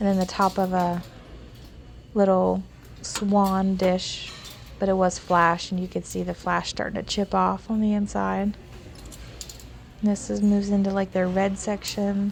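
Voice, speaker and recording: Amid noticeable background noise, a woman at medium pitch speaks in a monotone, flat intonation, leaving long, frequent pauses. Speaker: thrift store vlogger. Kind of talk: casual vlog voice-over. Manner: fast.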